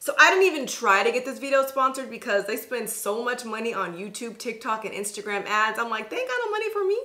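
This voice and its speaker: Pitch variation is ordinary. A woman talks very fast. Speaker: beauty vlogger. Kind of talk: casual vlog chat. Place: home room.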